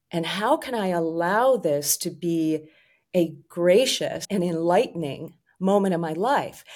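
A woman with an American accent has an ordinary speaking voice, pitched fairly low. She talks at a fairly slow pace with ordinary pitch variation. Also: very clean recording, silent background. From US Northeast, Rochester, New York. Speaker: life coach. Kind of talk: casual interview.

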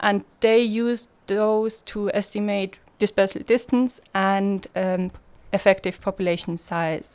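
A woman with a Swiss German accent at a very slow pace, fairly even intonation, on a very clean recording with a silent background. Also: medium pitch for a woman. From Switzerland, Basel. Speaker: master's student. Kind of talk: casual chat.

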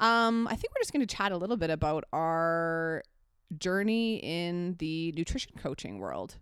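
Her voice is a plain, everyday voice, fairly low for a woman, with lively intonation. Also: moderate pace, very clean recording, silent background. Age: 30s. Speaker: nutrition coach and podcast co-host. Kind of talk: casual chat.

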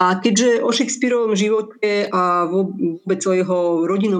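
There is noticeable background noise as a woman speaks in a Czech accent. Her intonation stays fairly even. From Moravia, Czech Republic. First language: Czech (speaking Slovak). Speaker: translator and editor. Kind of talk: radio interview.

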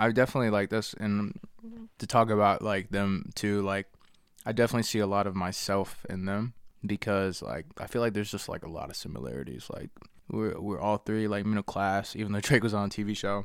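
In an American accent, a man uses an ordinary speaking voice with a fairly low pitch, ordinary pitch variation and a fairly quick pace. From Charlotte area, North Carolina (Harrisburg suburbs). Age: 20s. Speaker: rapper. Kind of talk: casual chat.

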